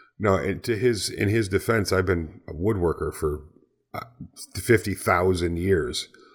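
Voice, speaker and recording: Speaking at a fairly slow pace, a man sounds somewhat breathy, with ordinary pitch variation. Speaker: podcast co-host, YouTuber. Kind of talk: casual chat. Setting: video call.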